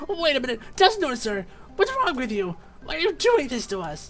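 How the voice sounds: A man's put-on character voice, extremely high and raspy, with very wide pitch swings over faint background noise. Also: moderate pace, fairly bright tone.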